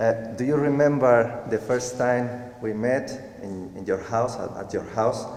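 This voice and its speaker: Fairly slow and with fairly even intonation, a man speaks amid noticeable background noise and audible room echo. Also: medium pitch for a man. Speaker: cancer survivor. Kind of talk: testimony. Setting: church stage with audience. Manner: halting.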